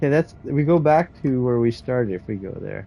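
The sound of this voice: A man speaks at a fairly quick pace with a medium pitch and lively intonation. His tone is dark and mellow, with vocal fry.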